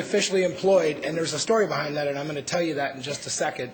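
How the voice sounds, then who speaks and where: A man's very fast, fairly high-pitched speech amid noticeable background noise and audible room echo. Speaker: conference panelist. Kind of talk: conference presentation. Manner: halting.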